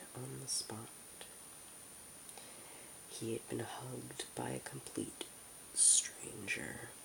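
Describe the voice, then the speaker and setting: Whispering at a very slow pace with long, frequent pauses, a man speaks over noticeable background noise. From United States. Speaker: ASMR creator. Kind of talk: ASMR audiobook reading. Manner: soft-spoken.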